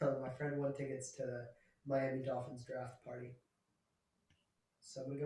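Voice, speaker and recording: A man speaks at a moderate pace in a dark, mellow, somewhat breathy tone. His intonation is monotone and flat, broken by long, frequent pauses. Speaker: podcast co-host. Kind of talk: casual chat.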